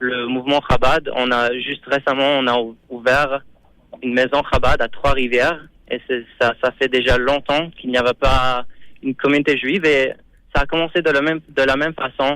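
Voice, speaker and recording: A man's bright, sharp voice at a medium pitch with a non-native accent, monotone, flat intonation and a moderate pace. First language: not French (speaking French). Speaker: Chabad rabbi / community emissary. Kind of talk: radio interview. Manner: halting, many repetitions.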